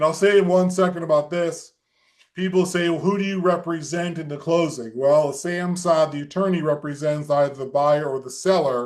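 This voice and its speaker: With an American accent, a man speaks in an ordinary speaking voice at a moderate pace, his fairly high pitch held to fairly even intonation. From US Midwest, Omaha. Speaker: real estate attorney. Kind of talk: webinar presentation. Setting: video call.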